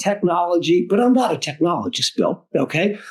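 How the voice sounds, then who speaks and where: A man with lively intonation. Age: 60s. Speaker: fundraising executive and lawyer. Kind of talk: podcast interview. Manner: halting with repetitions.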